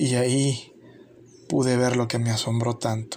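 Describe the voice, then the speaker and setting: A man's medium-pitched, monotone, flat delivery at a fairly slow pace, over noticeable background noise. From El Salvador. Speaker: YouTuber. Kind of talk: scripted narration.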